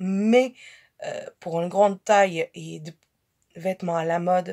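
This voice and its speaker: Recorded dry and close with no echo, a woman speaks at a medium pitch with ordinary pitch variation. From Portugal. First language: Portuguese (speaking French). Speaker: fashion haul vlogger. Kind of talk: casual haul vlog. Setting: her bedroom. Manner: halting, many fillers and repetitions.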